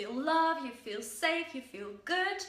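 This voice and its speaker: A raised, projected voice with lively intonation at a very slow pace, amid audible room echo and noticeable background noise. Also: woman. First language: Dutch. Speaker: self-help vlogger. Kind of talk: casual talk to camera. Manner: halting with fillers.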